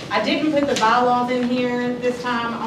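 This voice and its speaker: A woman's voice carries audible room echo and noticeable background noise. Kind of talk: meeting business talk. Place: meeting room. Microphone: camera far.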